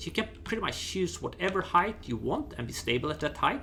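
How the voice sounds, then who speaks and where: With a non-native accent, the speaker moves at a fairly quick pace through very wide pitch swings over noticeable background noise. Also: man. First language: not English. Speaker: gaming YouTuber. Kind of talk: gameplay tutorial. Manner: halting, with fillers and false starts.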